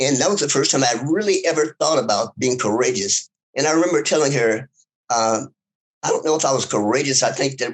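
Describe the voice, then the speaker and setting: A man speaks in a Southern US accent. His pitch is medium, with ordinary pitch variation. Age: 70s. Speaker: civil rights activist. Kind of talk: interview. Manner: halting.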